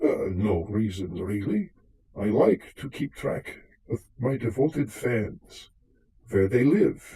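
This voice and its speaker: A man in a put-on character voice, medium-pitched, at a fairly slow pace. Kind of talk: live radio drama performance.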